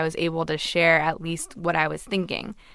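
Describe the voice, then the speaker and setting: Speaking in a plain, everyday voice with an American accent, a woman with fairly low pitch moves at a fairly quick pace. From Los Angeles, US.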